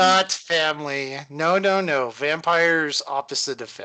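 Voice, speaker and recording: Someone uses a put-on character voice at a middle pitch, talking at a moderate pace. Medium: actual play. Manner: terse, broken English, evasive.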